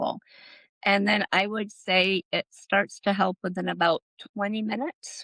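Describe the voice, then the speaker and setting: Using an ordinary speaking voice, a woman talks at medium pitch with fairly even intonation. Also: moderate pace, dry, close sound with no echo. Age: 60s. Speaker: botanical policy advocate. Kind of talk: interview podcast.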